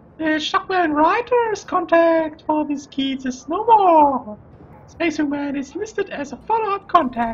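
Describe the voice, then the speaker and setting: Here a man puts on a character voice. It is squeaky and extremely high in pitch. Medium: game stream. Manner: flat, formal.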